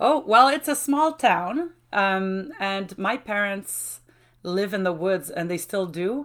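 With a French accent, a woman speaks very slowly at a medium pitch in a cheerful tone, with very wide pitch swings. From Quebec, Mauricie. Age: 40s. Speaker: university lecturer. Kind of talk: casual interview. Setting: video call. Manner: laughs often, cheerful.

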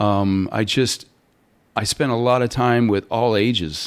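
This man has a normal speaking voice with a Canadian accent. His pitch is fairly low, with ordinary pitch variation. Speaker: student counselor and musician. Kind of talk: interview.

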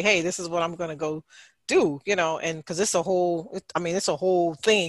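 In a plain, everyday voice, a woman talks at a fairly quick pace and fairly low pitch, recorded dry and close with no echo against a quiet background. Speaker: podcast host, mental health counselor. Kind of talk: casual group chat. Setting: video call.

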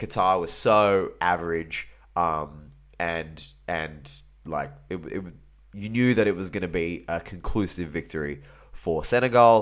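With an Australian accent, a man with a very deep, low voice speaks at a fairly slow pace and ordinary pitch variation. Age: 30s. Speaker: football podcaster. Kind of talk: casual solo commentary. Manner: animated.

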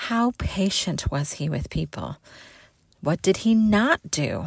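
Her tone warm and her pitch medium, a woman is heard on a very clean recording with a silent background. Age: 40s. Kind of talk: devotional talk. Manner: warm, earnest.

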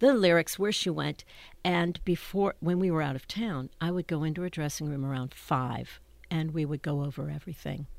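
A woman with a very deep, low pitch talks at a moderate pace in a very clean recording with a silent background. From Pittsburgh, Pennsylvania. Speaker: Broadway performer. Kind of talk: interview. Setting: studio.

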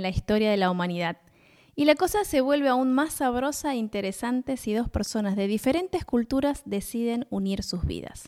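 A plain, everyday voice from a woman, fairly high in pitch, with lively intonation at a moderate pace, in a dry, close sound with no echo. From Buenos Aires, Argentina. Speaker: podcast co-host. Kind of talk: casual chat between spouses.

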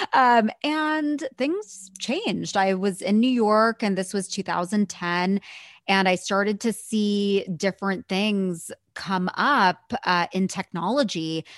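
A woman with an American accent at a very slow pace, in a dry, close sound with no echo. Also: medium pitch for a woman, ordinary pitch variation, quiet background. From US, San Francisco Bay Area. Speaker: leadership coach. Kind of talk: casual chat. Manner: giggly.

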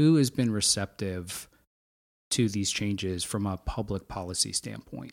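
A man's fairly low voice with an American accent, a plain, everyday voice, lively intonation and a fairly slow pace, in a very clean recording with a silent background. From Pennsylvania. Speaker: podcast host. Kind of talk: interview conversation.

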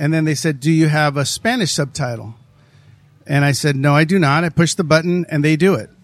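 On a very clean recording with a silent background, a man in a normal speaking voice talks fairly quickly, his fairly high pitch showing ordinary variation. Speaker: podcast host and actor. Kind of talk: casual interview.

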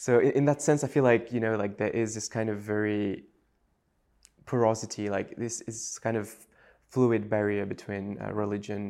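Speaking fairly quickly with a French accent, a man's voice sits fairly low and keeps a fairly even intonation. The recording is very clean, with a silent background. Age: 20s. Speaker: writer and religion scholar. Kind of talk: casual interview. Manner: casual, hesitant with fillers.

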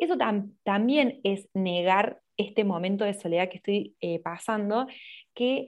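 Speaking fairly slowly in a Córdoba Argentine accent, a woman uses lively intonation at medium pitch. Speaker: social media content creator. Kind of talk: casual interview chat. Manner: talkative.

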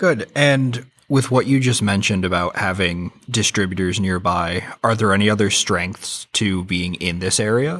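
With a plain, everyday voice, a man talks at a moderate pace, his fairly low pitch showing ordinary variation. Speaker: podcast host. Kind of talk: interview podcast hosting.

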